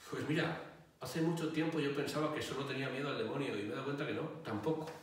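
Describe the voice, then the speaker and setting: A man with a fairly high pitch, strong room echo and light background noise. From Catalonia, Spain (Barcelona). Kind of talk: interview answers. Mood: calm, explanatory. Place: home room.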